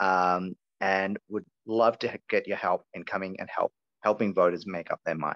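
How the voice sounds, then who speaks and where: Over a quiet background, a man with an Australian accent is heard in a dry, close sound with no echo. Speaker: campaign organizer. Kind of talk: online meeting presentation. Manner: animated.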